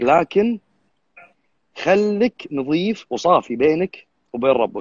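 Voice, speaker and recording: A man's high voice in a Kuwaiti accent, with very wide pitch swings and long, frequent pauses, in a dry sound with no echo and a quiet background. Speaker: bodybuilding judge; guest. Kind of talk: live stream interview. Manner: fast. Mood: earnest, firm. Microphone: unstable connection, voice cutting out; video call.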